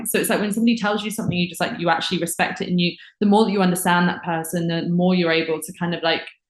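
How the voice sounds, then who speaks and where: A woman's medium-pitched voice at a very fast pace, fairly even in intonation, with noticeable background noise. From England, Windsor. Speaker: podcast guest. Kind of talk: casual chat.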